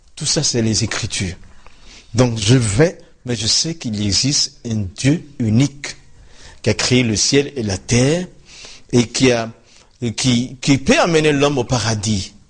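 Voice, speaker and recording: Speaking very slowly with long, frequent pauses, a man with a West African accent has a medium-pitched, somewhat breathy voice. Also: ordinary pitch variation. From Ivory Coast. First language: Dioula (speaking French). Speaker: former imam turned pastor. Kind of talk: interview testimony.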